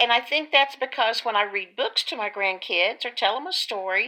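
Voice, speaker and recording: A woman's bright, sharp tone, fairly high in pitch, with lively intonation. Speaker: video blogger.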